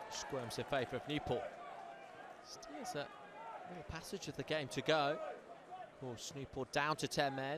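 Excited and fairly high-pitched, this man talks at a fairly slow pace with long, frequent pauses, ordinary pitch variation and noticeable background noise. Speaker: football commentator. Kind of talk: live play-by-play football commentary over match highlights. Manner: measured, building to excited praise on big moments; analytical, fluent running description of play.

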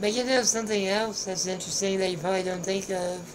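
Monotone, flat intonation from a woman, with noticeable background noise. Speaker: vlogger sharing hospital experiences. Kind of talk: casual vlog chat. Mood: relaxed, light humor. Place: home room. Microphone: headset.

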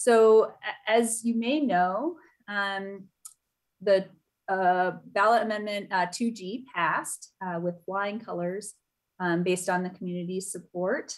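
A woman at a very slow pace with long, frequent pauses and ordinary pitch variation, against a quiet background. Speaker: chair of a citizen oversight board. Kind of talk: virtual public meeting moderation. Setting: video call. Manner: halting, many fillers. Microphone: video call.

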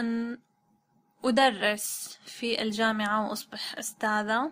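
A woman speaks at a very slow pace. Her voice is fairly high-pitched, with a bright, sharp tone. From Syria, Damascus. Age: 20s. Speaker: translator and Arabic tutor. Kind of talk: language-learning self-introduction in Modern Standard Arabic. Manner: halting, with pauses.

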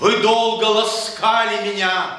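A man uses a raised, projected voice at a very slow pace. Room echo is audible around him. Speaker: poetry reader. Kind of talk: poetry reading. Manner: passionate.

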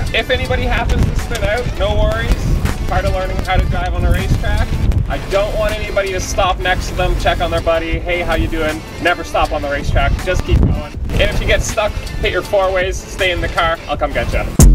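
Loud music plays in the background as a man speaks at a fairly quick pace. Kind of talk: instructional briefing. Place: stadium.

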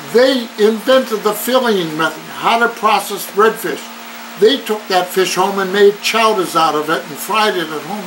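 A man's high pitch with ordinary pitch variation at a moderate pace, against noticeable background noise. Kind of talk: interview answer. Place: office. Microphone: camera far.

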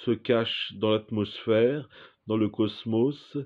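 The setting behind him is quiet. This man talks very slowly. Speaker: performer reciting poetic text. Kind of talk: surreal spoken-word poetry, read aloud as a dreamlike monologue. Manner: slow, contemplative, deliberate, with pauses between images. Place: home room. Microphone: phone near.

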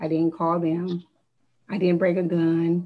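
A woman speaks with a dark, mellow tone. Her pitch is fairly low and her intonation monotone and flat. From US Midwest, Ohio. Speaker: city councilwoman. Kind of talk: council meeting remarks. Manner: hesitant, many fillers. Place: home room. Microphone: video call.

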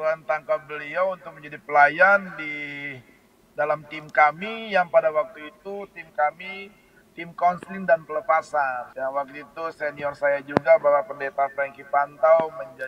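A fairly high-pitched man talks at a moderate pace with big swings in loudness. The sound is dry with no echo, though noticeable background noise is present. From Maluku, Indonesia. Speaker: pastor. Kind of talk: casual chat. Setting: phone call. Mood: animated, cheerful storytelling. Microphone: video call.

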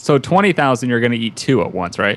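A man at a medium pitch, with big pitch swings and a fast pace

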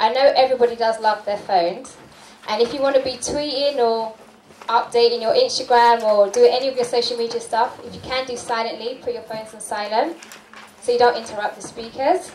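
A woman with a high voice speaks fairly quickly and with fairly even intonation. The room echo is audible, and there is light background noise. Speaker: event host. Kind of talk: event announcements. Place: hall.

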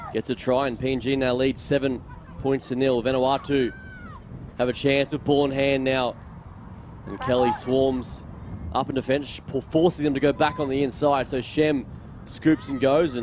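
At a moderate pace, a man speaks in a monotone, flat intonation with long, frequent pauses, the sound dry with no echo and light background noise behind him. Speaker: sports commentator. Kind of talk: commentary.

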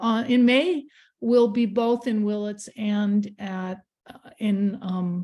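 A woman with an American accent has a medium-pitched, somewhat breathy voice with a dark, mellow tone. Her pitch varies in an ordinary way. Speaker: artist and letterpress printer. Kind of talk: radio interview. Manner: halting.

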